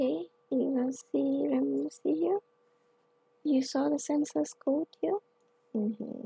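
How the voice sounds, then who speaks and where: A woman speaks at a very slow pace with long, frequent pauses and very even loudness. The sound is dry and close, with no echo. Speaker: tech instructor. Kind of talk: tutorial.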